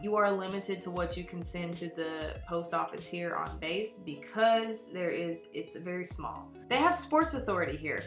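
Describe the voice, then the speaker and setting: Over clear music in the background, a woman talks at a moderate pace with hardly any pauses and audible room echo. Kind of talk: casual vlog chat. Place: home room. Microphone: webcam.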